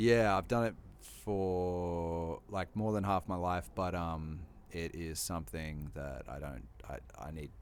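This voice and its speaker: A man's very deep, low voice with an Australian accent, lively intonation and a very slow pace. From Australia, Sunshine Coast, Queensland. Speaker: hip hop artist. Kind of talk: casual chat.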